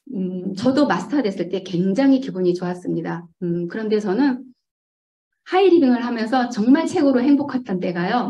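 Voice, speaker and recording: Somewhat breathy and dark, mellow in tone, a woman at a medium pitch speaks at a fairly quick pace with lively intonation. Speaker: network marketing distributor. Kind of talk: motivational business presentation. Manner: hesitant.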